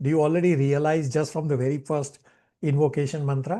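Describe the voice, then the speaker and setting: Against a quiet background, a man with a dark, mellow tone speaks at a fairly quick pace. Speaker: spiritual teacher. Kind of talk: online class with discussion.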